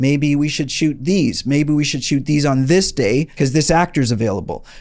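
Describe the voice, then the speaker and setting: Fairly high male voice, its pitch moving in a normal way. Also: very even loudness. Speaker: indie film producer and educator. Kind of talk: tutorial. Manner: fast.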